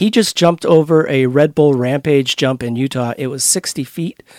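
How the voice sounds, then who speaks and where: An unremarkable speaking voice from a man, medium in pitch, fairly quick, with ordinary pitch variation, dry and close with no echo in a very clean recording against a silent background. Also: hardly any pauses. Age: 40s. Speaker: event founder. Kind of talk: casual interview. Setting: studio.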